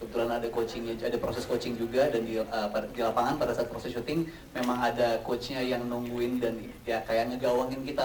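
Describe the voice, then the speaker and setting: Over noticeable background noise and audible room echo, a man talks at a very fast pace with a slight Javanese accent. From Central Java. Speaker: actor. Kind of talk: press conference Q&A. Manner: hesitant, many fillers.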